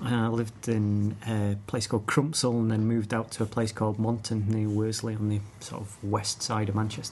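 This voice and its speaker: Delivered at a fairly quick pace, the speech is somewhat breathy, with monotone, flat intonation. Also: man, fairly low pitch for a man, hardly any pauses. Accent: Lincolnshire. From Scunthorpe, northern England. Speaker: beer taster. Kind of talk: casual chat.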